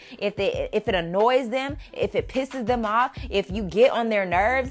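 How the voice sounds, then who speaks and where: The tone is animated. Music plays in the background. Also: woman. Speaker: spiritual life coach podcaster. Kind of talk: motivational talk. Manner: loud, yelling.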